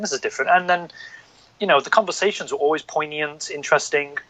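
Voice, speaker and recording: The delivery is very fast. It comes in a northern English accent. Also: man. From northern England. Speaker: podcast guest. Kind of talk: casual chat.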